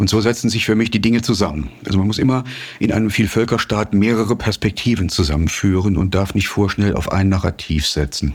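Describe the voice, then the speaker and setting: A man's fairly low voice at a fairly quick pace, his loudness very even. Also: ordinary pitch variation. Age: 60s. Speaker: journalist and author. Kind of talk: interview. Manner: frequent hesitations (äh, ähm).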